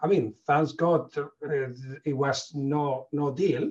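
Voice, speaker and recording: This is a man speaking. He has a Spanish accent. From Spain. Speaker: veterinarian, company manager. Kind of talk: panel discussion. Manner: halting.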